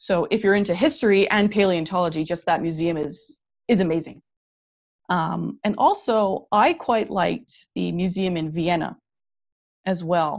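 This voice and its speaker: A woman with a Canadian accent talks at a moderate pace in a fairly low pitch with vocal fry and ordinary pitch variation, on a very clean recording with a silent background. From Canada (Alberta). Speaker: paleontologist. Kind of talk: interview. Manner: animated.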